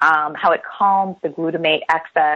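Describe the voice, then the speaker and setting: A woman speaks in an ordinary speaking voice with an American accent, her pitch fairly low and her pace moderate. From New Jersey. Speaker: chiropractor. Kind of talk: interview. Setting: radio show.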